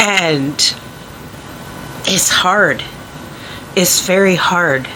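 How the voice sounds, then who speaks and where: With noticeable background noise and audible room echo, a woman's medium-pitched voice moves with ordinary pitch variation. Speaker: vlogger. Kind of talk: personal vlog monologue.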